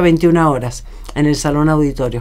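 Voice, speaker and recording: A woman with an ordinary speaking voice talks at a moderate pace, her pitch varying in an ordinary way. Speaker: radio interviewer. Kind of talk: radio interview.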